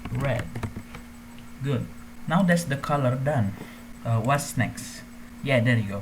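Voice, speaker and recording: Long, frequent pauses at a fairly slow pace, with noticeable background noise behind. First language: not English. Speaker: gaming tutorial youtuber. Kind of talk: tutorial. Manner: casual, hesitant with fillers.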